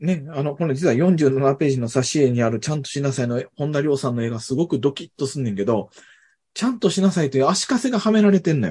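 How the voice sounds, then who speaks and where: At a very fast pace, a man speaks in a somewhat breathy voice with a dark, mellow tone and a fairly high pitch, against a quiet background. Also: lively intonation. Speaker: university professor and author. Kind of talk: casual conversational interview.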